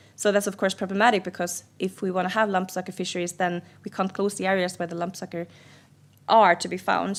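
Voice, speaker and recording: Very fast, flat, monotone speech from a woman of medium pitch with vocal fry, on a very clean recording with a silent background. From Sweden. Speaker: seal researcher. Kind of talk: lecture Q&A. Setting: seminar with audience. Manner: halting.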